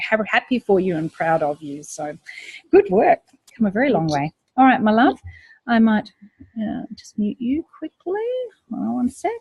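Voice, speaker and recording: A woman with a fairly high, somewhat breathy voice talks at a moderate pace with long, frequent pauses. Her pitch swings very widely and her loudness varies greatly, in a dry, close sound with no echo. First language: not English. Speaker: online course coach. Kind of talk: live Q&A call. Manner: warm, encouraging.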